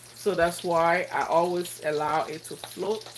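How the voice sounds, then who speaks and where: A woman with a Liberian accent speaks in a fairly low voice at a fairly slow pace, her intonation fairly even, amid noticeable background noise. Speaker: cooking vlogger. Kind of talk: live cooking tutorial.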